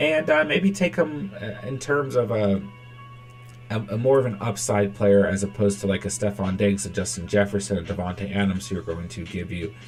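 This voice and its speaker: Faint music plays in the background as a man speaks at a fairly low pitch. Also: ordinary pitch variation. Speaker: fantasy football streamer. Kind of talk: live stream commentary. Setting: live stream hangout. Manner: fast; animated. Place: home room.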